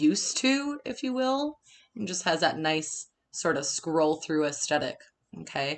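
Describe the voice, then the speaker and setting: With a Minnesota accent, a woman speaks at a fairly low pitch and a moderate pace. Her tone is animated and her intonation lively. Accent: Minnesotan. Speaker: design instructor. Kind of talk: webinar tutorial. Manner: casual, animated.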